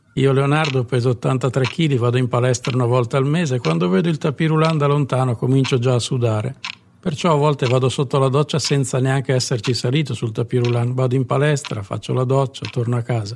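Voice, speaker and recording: A man with a plain, everyday voice talks at a fairly quick pace and a medium pitch, keeping his loudness very even. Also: ordinary pitch variation. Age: 50s. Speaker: comedian. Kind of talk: comic monologue.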